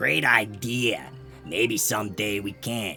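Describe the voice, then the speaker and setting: Over clear background music, a man puts on a raspy character voice with a fairly low pitch. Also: fairly slow pace. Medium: read story.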